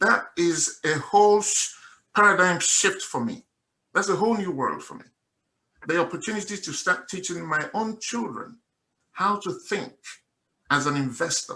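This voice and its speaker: A man's raised, projected voice with a Nigerian accent, high in pitch, at a moderate pace with long, frequent pauses, ordinary pitch variation and big swings in loudness. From Nigeria, Igbo (Mbise). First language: Igbo. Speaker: investor giving testimony. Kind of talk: testimony. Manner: animated.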